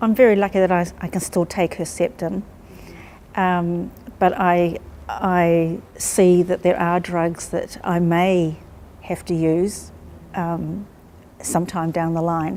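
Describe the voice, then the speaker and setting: Very slowly and with long, frequent pauses, a woman with a New Zealand accent talks in a flat monotone at a fairly low pitch with a dark, mellow tone. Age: 60s. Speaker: cancer patient. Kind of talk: interview testimony.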